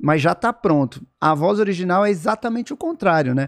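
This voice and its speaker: A man's high voice with a Brazilian accent, lively intonation and a moderate pace against a quiet background. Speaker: voice actor. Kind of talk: podcast interview answer. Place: studio. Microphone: studio mic.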